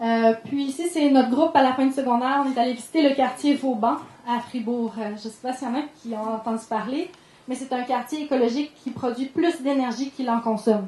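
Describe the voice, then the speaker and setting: A woman's high voice in a Quebec accent, fairly quick, with fairly even intonation. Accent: Québécois French. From Quebec, Ham-Nord. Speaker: sustainable development coordinator. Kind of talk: conference talk. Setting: conference room with audience. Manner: fast; hesitant fillers.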